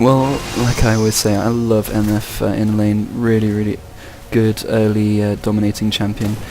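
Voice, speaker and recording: With an English accent, a man speaks at a moderate pace in a fairly low, monotone, flat voice. Noticeable background noise can be heard. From England. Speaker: game commentator. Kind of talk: live commentary.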